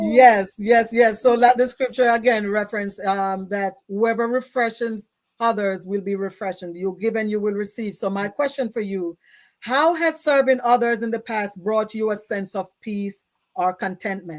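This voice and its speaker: A woman speaks in a Jamaican accent at a moderate pace. Her pitch is fairly high, and the recording is very clean with a silent background. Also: ordinary pitch variation. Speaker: talk show host. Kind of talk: interview. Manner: animated.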